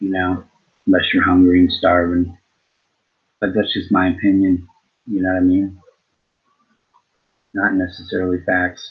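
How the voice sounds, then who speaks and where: The speech moves at a moderate pace in a monotone, flat intonation, broken by long, frequent pauses. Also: man. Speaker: talk show host. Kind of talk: solo opinion monologue.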